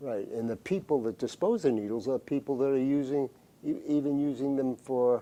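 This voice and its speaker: A man speaks at medium pitch in a dark, mellow tone. His pace is moderate, with ordinary pitch variation. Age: 80s+. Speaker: retired public health commissioner. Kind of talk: interview. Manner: halting.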